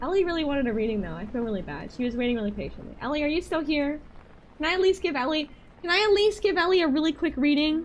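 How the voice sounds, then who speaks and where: Very fast and high-pitched, a woman with an American accent talks with very wide pitch swings. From Georgia, US South. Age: 20s. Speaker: streamer. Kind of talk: casual live stream chat. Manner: animated.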